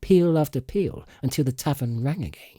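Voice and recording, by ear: The man's dark, mellow tone carries lively intonation at a moderate pace. The recording is very clean, with a silent background.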